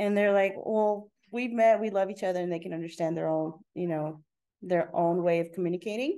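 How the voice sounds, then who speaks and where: This voice, with a Spanish accent, has a dark, mellow tone. It moves at a fairly quick pace with ordinary pitch variation. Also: woman. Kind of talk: casual interview chat.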